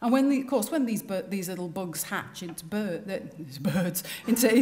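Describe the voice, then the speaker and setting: With a Liverpool accent, the voice shows ordinary pitch variation. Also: woman. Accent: Liverpool (Scouse). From northern England, Liverpool. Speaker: designer giving a talk. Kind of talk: public speech. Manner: animated.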